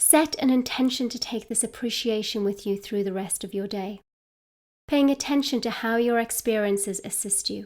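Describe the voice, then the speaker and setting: In a British accent, a woman speaks at a moderate pace with a fairly high pitch and ordinary variation. The recording is very clean, with a silent background. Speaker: midlife coach. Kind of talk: guided meditation. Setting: outdoors.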